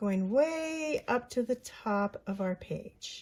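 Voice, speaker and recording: Her somewhat breathy voice has ordinary pitch variation as the woman speaks. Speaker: mixed media art journaling creator. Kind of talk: craft tutorial. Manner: casual, chatty; mumbling.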